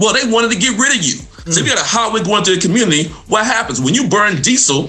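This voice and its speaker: A man with an American accent speaks in a raised, projected voice at a very fast pace, with very wide pitch swings. Music plays in the background, and there is audible room echo. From Mississippi, US South. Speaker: environmental health professor. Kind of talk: radio talk show interview. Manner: animated.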